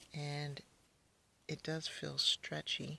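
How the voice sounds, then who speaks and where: This woman's pitch is very deep and low. She speaks at a very slow pace. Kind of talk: casual unboxing talk to camera. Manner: quiet, subdued.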